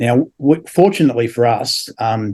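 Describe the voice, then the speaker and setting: A man speaks with an Australian accent. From Australia, Adelaide. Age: 70s. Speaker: former religious group member, builder. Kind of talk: interview testimony. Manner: halting, many fillers.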